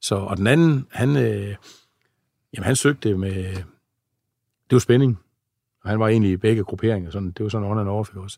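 A man's fairly low, dark and mellow voice at a moderate pace, with ordinary pitch variation, big swings in loudness and long, frequent pauses, in a dry, close sound with no echo on a very clean recording with a silent background. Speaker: former police officer. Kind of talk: interview. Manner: halting.

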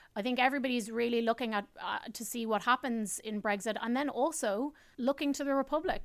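A woman with an Irish accent speaks at a fairly quick pace, with hardly any pauses. Her voice is high-pitched, with ordinary pitch variation. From Ireland. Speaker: political commentator and activist. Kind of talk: casual chat.

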